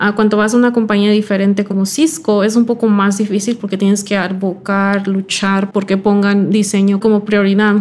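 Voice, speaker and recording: A woman speaks in a flat, monotone way at a moderate pace with hardly any pauses. Her loudness stays very even throughout. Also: medium pitch for a woman. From California (Silicon Valley), from Mexico as a small child. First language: English (speaking Spanish). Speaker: product designer. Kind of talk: interview.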